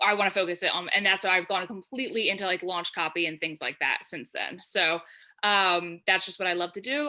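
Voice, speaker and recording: With a New Jersey accent, this speaker talks at a fairly quick pace in a bright, sharp tone, captured in a very clean recording with a silent background. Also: woman. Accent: New Jersey American. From New Jersey, US. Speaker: freelance copywriter. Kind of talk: podcast interview. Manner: fast.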